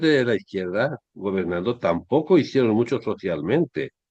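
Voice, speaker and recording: Speaking at a fairly slow pace, a man of medium pitch makes very wide pitch swings. The sound is dry and close, with no echo. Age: 60s. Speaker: history commentator. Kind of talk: monologue commentary. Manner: halting.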